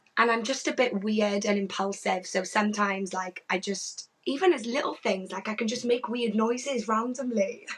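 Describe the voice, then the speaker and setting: With hardly any pauses, the voice keeps a moderate pace and shows ordinary pitch variation. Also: woman, fairly high pitch for a woman. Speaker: mental health nurse and wellbeing coach. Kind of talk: casual interview chat. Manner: loud.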